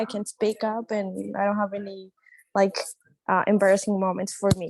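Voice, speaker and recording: A woman speaks with a Spanish accent, her pitch fairly high. The sound is dry and close, with no echo. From Colombia. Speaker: international student. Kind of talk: panel discussion. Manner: shy.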